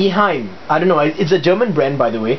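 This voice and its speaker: Noticeable background noise beneath lively intonation. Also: man. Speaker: hobbyist video maker. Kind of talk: tutorial. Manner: casual, hesitant with fillers.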